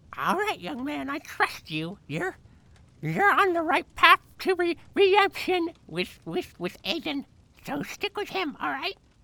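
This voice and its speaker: At a fairly slow pace, a female-sounding, put-on character voice sits extremely high in pitch for a woman. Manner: crotchety, scolding.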